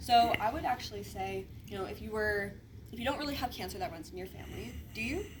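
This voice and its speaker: A woman at a very fast pace, with audible room echo and noticeable background noise. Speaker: insurance sales agent. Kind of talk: sales pitch.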